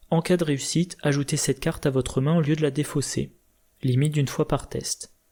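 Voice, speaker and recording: On a very clean recording with a silent background, a man with a fairly high pitch speaks at a moderate pace in a dark, mellow, somewhat breathy tone. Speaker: board game video creator. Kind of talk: tutorial.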